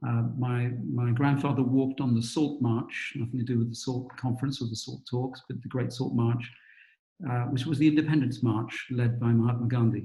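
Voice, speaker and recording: A man speaks at medium pitch with a British accent. His tone is dark, mellow and somewhat breathy, and his intonation is monotone and flat. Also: moderate pace. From England, London East End. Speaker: investment firm CEO and author. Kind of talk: interview.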